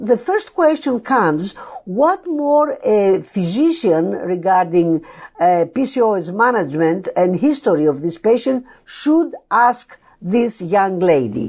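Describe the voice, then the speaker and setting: A woman with a Greek accent and a medium pitch speaks at a very slow pace, making very wide pitch swings while keeping her loudness very even. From Greece, Athens. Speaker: endocrinology professor. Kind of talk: lecture. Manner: halting.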